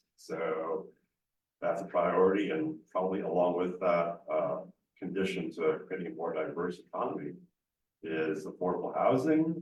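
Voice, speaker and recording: A man talks at a moderate pace, with room echo clearly audible. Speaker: council applicant. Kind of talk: interview. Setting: council chambers.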